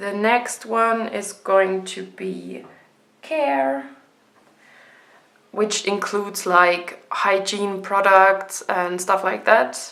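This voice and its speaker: A woman with a German accent speaks at a very slow pace in a medium pitch, her tone bright and sharp, with ordinary pitch variation and audible room echo. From Germany. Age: 20s. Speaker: budgeting vlogger. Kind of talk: casual tutorial vlog. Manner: hesitant, many ums.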